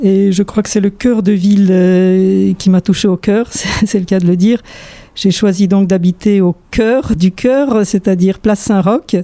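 In a dry, close recording with no echo, a woman talks at a very slow pace and medium pitch, her loudness very even and her intonation fairly even. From Poland (Warsaw). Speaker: orchestral violinist. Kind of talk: interview monologue. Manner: halting.

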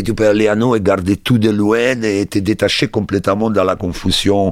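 With an Italian accent, a man speaks at a fairly slow pace and a fairly low pitch. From Italy, Rome. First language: Italian (speaking French). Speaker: bassist and music producer. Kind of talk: interview monologue. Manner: halting.

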